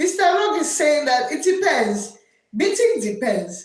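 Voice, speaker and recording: The voice is loud, swinging very widely in pitch, with audible echo from the room. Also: woman. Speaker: teacher and livestream host. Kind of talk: live stream chat.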